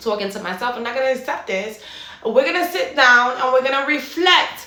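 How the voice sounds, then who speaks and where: Projecting a raised voice, a woman speaks at a high pitch and a moderate pace. Her intonation is lively, and the room echo is audible. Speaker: fitness and mindset coach. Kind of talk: motivational monologue.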